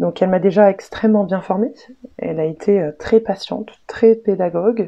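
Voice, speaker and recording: Her pitch shows ordinary variation. This woman talks at a medium pitch. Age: 20s. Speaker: work-study student. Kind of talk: testimony. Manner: halting.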